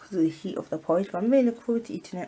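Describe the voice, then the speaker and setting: This woman speaks with a British accent. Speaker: student vlogger. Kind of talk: casual vlog talk. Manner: fast.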